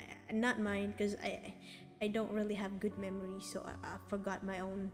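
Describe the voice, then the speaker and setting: Over music in the background, a speaker with a Filipino accent talks at a moderate pace in a flat, monotone intonation. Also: woman, medium pitch for a woman. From Philippines. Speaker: vtuber streamer and artist. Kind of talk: casual live stream chat. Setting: live stream. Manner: halting, many fillers and restarts.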